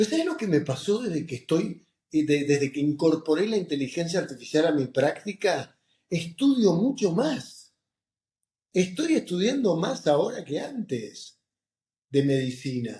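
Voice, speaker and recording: With a Rioplatense accent, a man speaks at a fairly slow pace in a high pitch. His dark, mellow tone moves through very wide pitch swings. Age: 60s. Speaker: oncologist and professor. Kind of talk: interview. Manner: animated.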